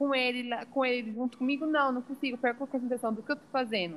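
Fairly even intonation from a woman with a high pitch. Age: 20s. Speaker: environmental engineer and mother. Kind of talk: podcast interview.

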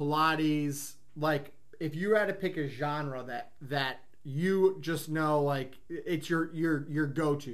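There is audible room echo around this voice. It belongs to a man with a fairly high pitch. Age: 30s. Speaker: gym owner and podcast host. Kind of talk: casual chat.

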